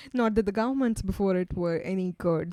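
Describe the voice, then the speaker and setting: With an Indian accent, a woman talks at a fairly quick pace in a medium pitch with a dark, mellow tone, recorded very cleanly with a silent background and a dry, close sound with no echo. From India, Western Ghats highlands. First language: Kannada. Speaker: PhD researcher. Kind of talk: podcast interview.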